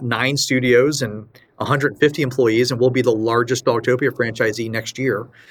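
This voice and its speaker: With an ordinary speaking voice, a man talks at a moderate pace at medium pitch with fairly even intonation, on a very clean recording with a silent background. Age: 40s. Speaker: franchise business executive. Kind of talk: interview.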